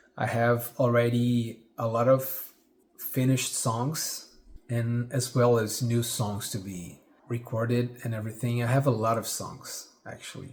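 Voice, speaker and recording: A man speaks with a Brazilian accent at a fairly slow pace. His tone is dark and mellow, and somewhat breathy. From Brazil, Rio de Janeiro. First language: Portuguese. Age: 40s. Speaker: singer-songwriter. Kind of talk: casual vlog monologue. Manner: halting, with fillers and repeats.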